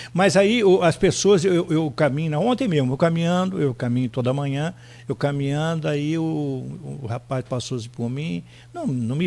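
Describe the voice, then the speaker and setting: He talks at a moderate pace. The man's voice is fairly high. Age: 60s. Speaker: former mayor, politician. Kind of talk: radio interview.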